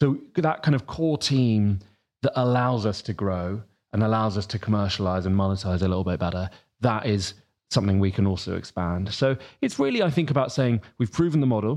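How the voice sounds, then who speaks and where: A man with a southern English accent, fairly low pitch, lively intonation and a fairly quick pace, over a quiet background. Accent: southern English, noticeable. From Sussex, southern England. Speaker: newsletter editor and journalist. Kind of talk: casual interview chat.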